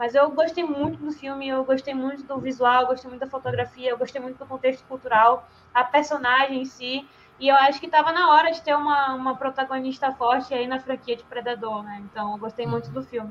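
This woman talks at a fairly quick pace with a high pitch and fairly even intonation. Her loudness swings widely. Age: 20s. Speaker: podcast guest, film commentator. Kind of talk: casual chat.

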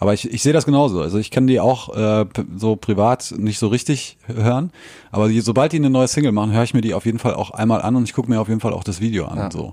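A man at medium pitch, very fast, with ordinary pitch variation. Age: 30s. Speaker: podcast co-host. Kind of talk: casual chat. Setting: home recording.

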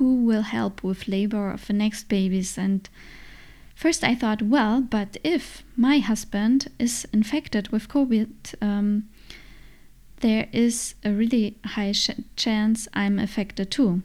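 A woman's somewhat breathy voice with a German accent, at a very slow pace. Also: fairly high pitch for a woman, ordinary pitch variation, very clean recording, silent background. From Germany. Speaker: podcast host, mother. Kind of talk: solo podcast monologue. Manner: hesitant, frequent fillers.

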